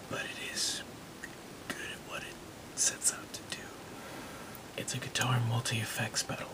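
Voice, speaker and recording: A man whispers at a fairly slow pace, with long, frequent pauses. Noticeable background noise runs underneath. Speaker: ASMR creator and hobbyist guitarist. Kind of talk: ASMR gear show-and-tell to camera. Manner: soft-spoken, whispering.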